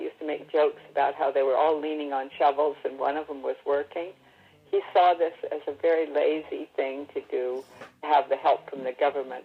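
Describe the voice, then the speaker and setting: A woman speaks at a fairly quick pace in a very deep, low pitch. Her delivery is monotone and flat, with music in the background. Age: old. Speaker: Great Depression survivor. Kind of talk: interview answer.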